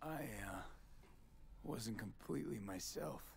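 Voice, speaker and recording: A put-on character voice speaks low in pitch at a moderate pace. Clear background noise runs underneath. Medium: video game.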